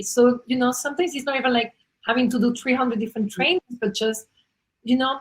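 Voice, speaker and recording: A woman in a non-native accent, high in pitch with ordinary pitch variation. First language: not English. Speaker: interview series host. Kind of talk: video interview.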